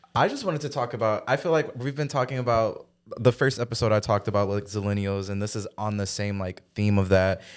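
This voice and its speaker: On a very clean recording with a silent background, a man talks at a very fast pace and a medium pitch, with ordinary pitch variation. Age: 20s. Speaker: podcast co-host. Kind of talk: casual chat.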